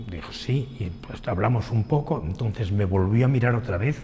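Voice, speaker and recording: A man speaks in a fairly low voice at a moderate pace, with ordinary pitch variation. Noticeable background noise runs underneath. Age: 60s. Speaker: person living with retinitis pigmentosa. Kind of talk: documentary interview testimony.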